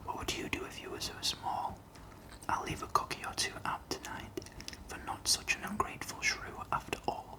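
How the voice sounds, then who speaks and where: A whispering man with a Yorkshire accent, moderate pace, and noticeable background noise. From Northern England. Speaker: ASMR creator. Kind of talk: poetry reading. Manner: whispered, soft-spoken.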